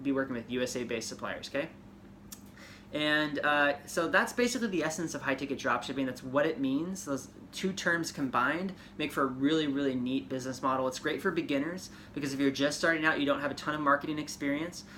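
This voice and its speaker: A man talks at a very fast pace in a bright, sharp tone. His fairly high pitch shows ordinary variation. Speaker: podcast host and ecommerce coach. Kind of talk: casual tutorial podcast.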